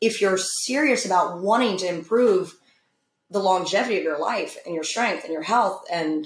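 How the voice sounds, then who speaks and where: At a moderate pace, a woman uses a normal speaking voice with ordinary pitch variation. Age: 30s. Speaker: gym owner and former teacher. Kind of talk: casual chat.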